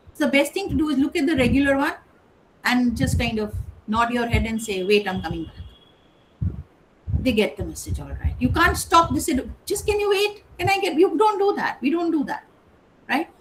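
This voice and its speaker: At a fairly quick pace, a woman with a high pitch makes very wide pitch swings and long, frequent pauses against noticeable background noise. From India (Kolkata). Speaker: English professor. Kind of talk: lecture. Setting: online session. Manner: conversational, with hesitations.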